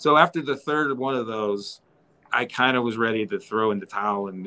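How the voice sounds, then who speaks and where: A bright, sharp tone carries an American accent at a moderate pace with ordinary pitch variation. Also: man. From western Pennsylvania, Evans City near Pittsburgh; Pennsylvania. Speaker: horror museum owner; guest. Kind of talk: casual chat. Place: home room. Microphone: video call.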